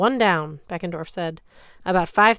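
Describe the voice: A plain read-aloud delivery, its pitch varying in an ordinary way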